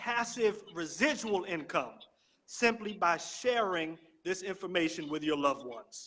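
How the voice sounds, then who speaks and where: A loud voice with a bright, sharp tone, lively intonation and a fairly slow pace. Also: man. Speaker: network marketing promoter. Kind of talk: sales pitch. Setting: live stream from a library.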